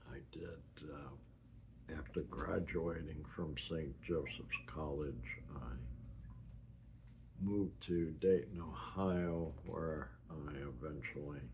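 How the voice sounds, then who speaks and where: Speaking at a very slow pace with vocal fry, a man with an American accent and a very deep, low pitch shows ordinary pitch variation in a room with audible echo. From US Northeast (New York, New Jersey, Massachusetts). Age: 70s. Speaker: retiree sharing his life story. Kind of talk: personal life-story recording. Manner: halting, with many fillers.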